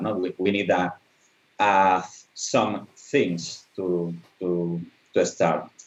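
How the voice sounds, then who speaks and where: In a very deep, low voice, a man talks at a very slow pace. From Spain. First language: Spanish. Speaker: animatronic designer. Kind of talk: online conference presentation. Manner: halting.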